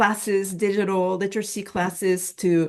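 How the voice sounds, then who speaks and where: A woman with a non-native accent talks at a fairly slow pace. Her pitch is medium, and the background is quiet. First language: not English. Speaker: plain language and immigrant services expert. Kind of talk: webinar panel talk. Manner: halting, many fillers and restarts.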